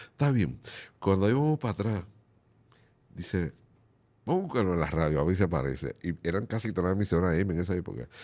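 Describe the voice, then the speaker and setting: Speaking at a fairly quick pace, a man uses a very deep, low pitch with lively intonation, a dark, mellow tone and vocal fry. Long pauses come often. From Dominican Republic, Montecristi province; Dominican Republic. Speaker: merengue musician; guest. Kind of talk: interview. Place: studio. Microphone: studio mic.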